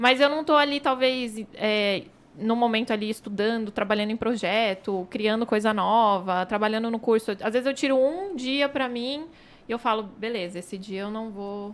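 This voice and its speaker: This is an unremarkable speaking voice at a moderate pace with ordinary pitch variation. The recording is very clean, with a silent background. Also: woman, fairly high pitch for a woman. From Brazil, São Paulo. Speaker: image and marketing consultant. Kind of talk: casual chat.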